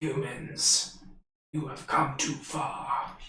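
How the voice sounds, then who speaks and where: A man's put-on character voice, raspy and growling, fairly high in pitch, with slight echo. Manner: growling, menacing.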